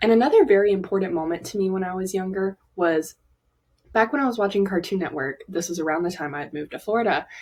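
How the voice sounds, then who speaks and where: A woman with a Southern accent, a medium pitch and a very fast pace. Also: ordinary pitch variation. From US South, Alabama. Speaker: aspiring animator. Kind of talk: personal vlog monologue. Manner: casual, many fillers.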